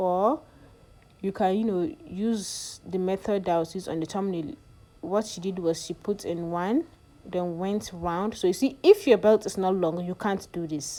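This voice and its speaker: A woman speaks fairly slowly in a non-native accent. Her voice is medium in pitch, dark and mellow, with ordinary pitch variation. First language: not English. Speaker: sewing tutorial youtuber. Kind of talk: tutorial. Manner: casual, hesitant with fillers.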